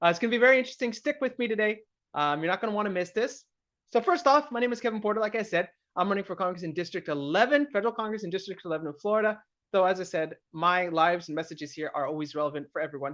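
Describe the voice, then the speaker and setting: This man talks at a very fast pace with an American accent. His pitch sits high, and the background is quiet. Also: lively intonation. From US Pacific Northwest, Seattle area. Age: 30s. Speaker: political candidate. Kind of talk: live stream monologue. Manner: casual, hesitant with many fillers.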